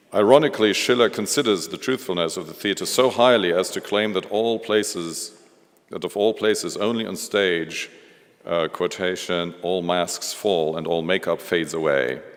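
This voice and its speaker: Speaking at a moderate pace with ordinary pitch variation, a man with a very deep, low pitch talks in a German accent. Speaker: museum director. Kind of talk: lecture. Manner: halting, many fillers.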